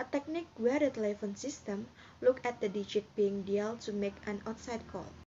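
Over light background noise, a woman speaks in a somewhat breathy voice with ordinary pitch variation. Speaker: presenter. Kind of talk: lecture.

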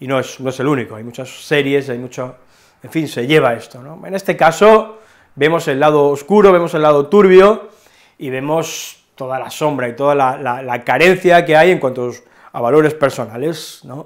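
Over a quiet background, a man with a fairly high pitch speaks at a moderate pace, his loudness swinging widely. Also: ordinary pitch variation. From Alicante, Spain; Spain. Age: 40s. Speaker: film reviewer. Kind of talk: film review monologue. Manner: hesitant, with fillers. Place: home room. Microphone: lapel.

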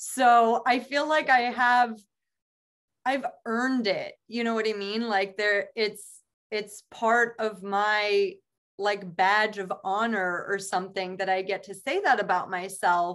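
At a very slow pace, a woman talks at a fairly high pitch with ordinary pitch variation over a quiet background. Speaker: podcast co-host. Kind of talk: casual chat. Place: home room. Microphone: video call.

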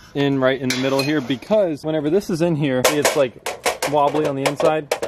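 Loud background noise sits behind a fairly quick delivery with a dry sound and no echo. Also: man. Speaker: vlogger building a go-kart. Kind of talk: casual vlog chat. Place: street. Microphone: phone near.

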